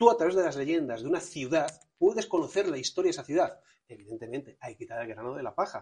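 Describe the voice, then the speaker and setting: A man with a fairly high voice and a dark, mellow tone talks very fast, using lively intonation and big swings in loudness. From Spain, Toledo. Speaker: historian and mystery tour guide. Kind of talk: interview. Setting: on location in a museum.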